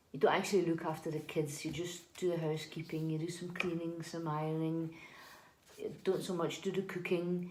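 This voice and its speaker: A woman talks at a fairly quick pace in a fairly low pitch. Her intonation is monotone and flat, with audible room echo. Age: 40s. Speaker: housekeeper. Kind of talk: interview. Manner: hesitant, many fillers and repeats.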